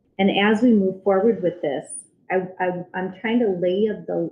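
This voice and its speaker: Music plays in the background as a woman speaks. Her pitch is medium and her pace fairly slow. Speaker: special education administrator. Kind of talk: presentation to school board. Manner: halting with frequent ums.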